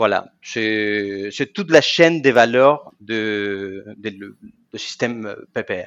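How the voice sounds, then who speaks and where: A man with a Spanish accent talks at a very slow pace, his pitch fairly low. His loudness swings widely. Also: ordinary pitch variation. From Argentina. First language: Spanish (speaking French). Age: 40s. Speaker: professional association president. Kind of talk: interview.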